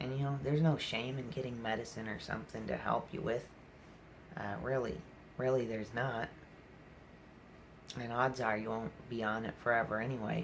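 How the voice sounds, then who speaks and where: A man at medium pitch talks at a moderate pace with fairly even intonation and long, frequent pauses. Audible room echo and noticeable background noise sit behind him. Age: 20s. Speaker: vlogger talking about mental health. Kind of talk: personal vlog monologue. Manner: halting, many fillers.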